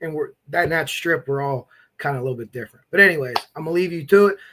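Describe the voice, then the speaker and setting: A man speaks very fast with an American accent. His tone is bright and sharp, with ordinary pitch variation. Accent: Midwestern-sounding per viewers, Pennsylvania. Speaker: true crime live streamer. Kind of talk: casual live stream chat. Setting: live stream. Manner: casual, halting with fillers.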